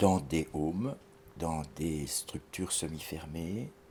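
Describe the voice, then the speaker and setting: At a very slow pace, a man speaks in a very deep, low pitch with ordinary pitch variation. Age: 60s. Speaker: criminologist and psychoanalyst. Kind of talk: interview. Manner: halting.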